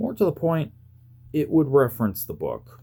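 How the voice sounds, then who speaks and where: A man mumbling in a dark, mellow tone with vocal fry. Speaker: YouTuber. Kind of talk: casual review talk to camera. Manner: stuttering, mumbling.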